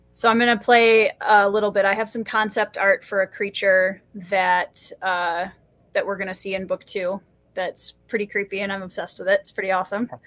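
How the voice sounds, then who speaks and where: A woman speaks at a moderate pace with a medium pitch and fairly even intonation. The recording is very clean and dry, close-sounding with no echo and a silent background. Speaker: fantasy author. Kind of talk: casual chat. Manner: loud.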